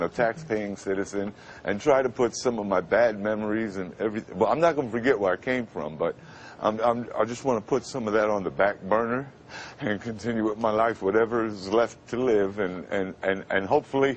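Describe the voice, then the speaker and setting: A man with a plain, everyday voice talks at a fairly quick pace, fairly low in pitch, with ordinary pitch variation. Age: 50s. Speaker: radio announcer. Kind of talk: TV interview answer.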